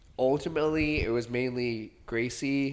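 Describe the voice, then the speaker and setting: A man speaks loudly with ordinary pitch variation. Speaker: podcast co-host. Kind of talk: casual chat. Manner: fast talker.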